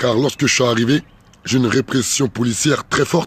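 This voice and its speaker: In a dry, close recording with no echo, a man speaks at a fairly quick pace with a medium pitch, fairly even intonation and a somewhat breathy quality. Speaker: political activist vlogger. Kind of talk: direct-to-camera political video message.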